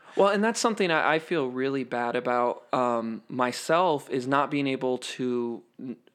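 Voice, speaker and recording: A man speaks at a fairly high pitch and moderate pace. His tone is animated. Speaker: guest, theater performer. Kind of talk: casual interview chat. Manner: flamboyant, animated.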